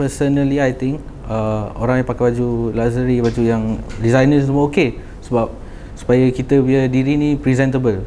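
Amid light background noise, a man keeps a moderate pace and a monotone, flat intonation. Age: 20s. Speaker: young trader; podcast guest. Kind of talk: casual chat. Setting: studio. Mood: calm, relaxed. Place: studio. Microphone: lapel.

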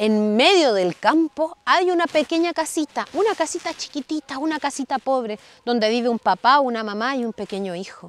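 A woman speaks in a gentle, warm tone with very wide pitch swings. The sound is dry, with no echo. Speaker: storyteller. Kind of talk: bedtime story telling. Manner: animated, playful, dramatic pauses; gentle, warm, child-directed. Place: open country. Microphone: lapel.

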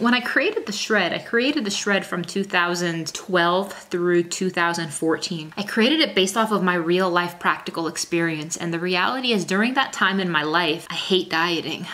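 A woman's fairly low, bright, sharp voice at a moderate pace, with ordinary pitch variation, few pauses and faint background noise.

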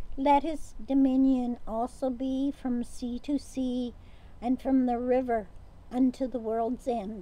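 At a very slow pace, a woman speaks in a high pitch with a dark, mellow tone, monotone, flat intonation and a dry sound with no echo. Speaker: co-leader reading responses and prayers; lay reader at morning prayer. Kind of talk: morning prayer service, liturgical responses and collect. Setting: outdoors at a lakeside home. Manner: formal, measured, reverent. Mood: calm, reverent. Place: garden.

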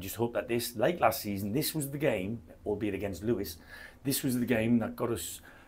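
With a slightly mellow tone, a man talks at a fairly low pitch and ordinary pitch variation. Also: moderate pace.

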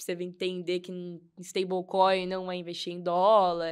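A woman talks at a moderate pace, with a quiet background behind her. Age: 20s. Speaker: crypto investor and economics student; podcast guest. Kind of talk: casual chat. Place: studio. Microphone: studio mic.

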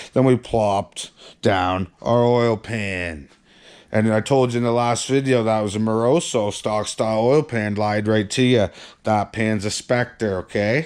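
Against a quiet background, a man talks at a fairly slow pace with a fairly low pitch and ordinary pitch variation. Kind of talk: casual vlog chat. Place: garage. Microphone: phone near.

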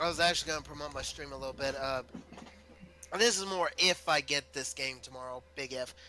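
Fairly high in pitch, a man with an unremarkable speaking voice talks at a fairly quick pace with ordinary pitch variation, in a dry recording with no echo and light background noise. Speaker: gamer. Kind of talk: casual chat.

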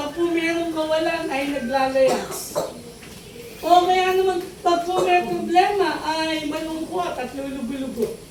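Background noise can be noticed throughout. The pace is fairly slow. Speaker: preacher. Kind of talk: sermon. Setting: church with congregation responding. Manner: animated, call-and-response preaching; emphatic, with humorous asides.

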